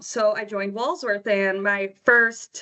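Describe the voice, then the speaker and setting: A woman's medium-pitched voice with an American accent and fairly even intonation. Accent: Wisconsin accent (allegedly). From Wisconsin, US. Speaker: yearbook graphic designer. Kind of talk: casual podcast interview.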